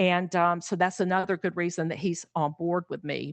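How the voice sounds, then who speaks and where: A woman talks at a moderate pace with a fairly low pitch. It is an ordinary speaking voice. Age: 60s. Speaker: pet sitter. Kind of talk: interview conversation.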